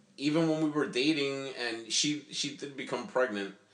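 Audible room echo surrounds this recording. A man talks with ordinary pitch variation. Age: 30s. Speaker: expectant father, host's older brother. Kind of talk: casual chat.

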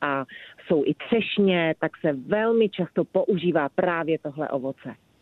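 A woman at a fairly low pitch with ordinary pitch variation, at a very slow pace. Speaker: magazine editor. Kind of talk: casual interview. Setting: phone call.

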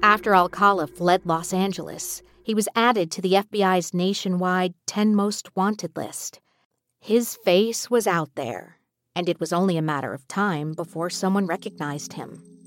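A woman's normal speaking voice, medium in pitch, at a moderate pace, with a dry, close sound with no echo, in a very clean recording with a silent background. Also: ordinary pitch variation. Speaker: narrator. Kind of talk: true-crime narration. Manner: measured, somber, steady storytelling pace.

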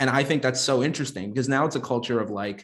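This man speaks very fast. His pitch sits in the middle range for a man. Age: 30s. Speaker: software entrepreneur. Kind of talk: casual discussion.

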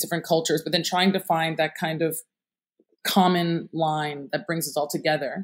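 A woman with a plain, everyday voice and an American accent, fairly low in pitch, at a fairly quick pace, on a very clean recording with a silent background. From upstate New York, US. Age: 30s. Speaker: entrepreneur. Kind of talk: interview.

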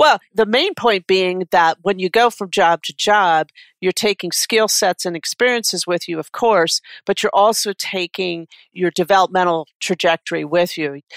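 A woman with a Midwestern American accent talks at a moderate pace and a medium pitch, with ordinary pitch variation. The recording is very clean and dry, close with no echo, over a silent background. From Detroit area, Michigan. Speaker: executive coach. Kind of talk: interview.

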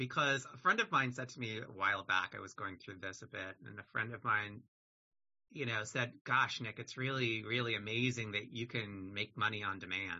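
Here is a normal speaking voice from a man at medium pitch with ordinary pitch variation. His pace is moderate, with big swings in loudness. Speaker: podcast host. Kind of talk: casual interview chat.

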